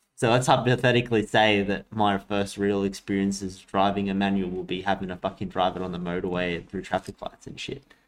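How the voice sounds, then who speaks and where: Speaking at a fairly quick pace with an Australian accent, the speaker keeps the intonation fairly even and hardly pauses at all. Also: man, fairly low pitch for a man. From Australia, Sydney and Coffs Harbour. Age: 20s. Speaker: podcast co-host. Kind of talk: casual chat.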